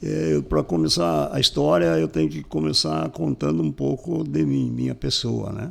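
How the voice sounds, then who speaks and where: A very deep, low-pitched man with lively intonation and hardly any pauses. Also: moderate pace. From southern Brazil, Paraná (São Mateus do Sul area). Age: 60s. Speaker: business owner. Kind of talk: interview storytelling.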